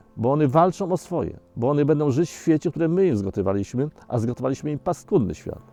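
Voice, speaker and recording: A man speaks at a fairly quick pace in a fairly high pitch with very wide pitch swings. The sound is dry and close with no echo, with music in the background. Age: 60s. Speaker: environmental activist. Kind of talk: documentary interview answer.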